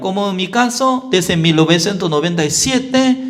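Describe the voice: A man at a slow pace, with big pitch swings.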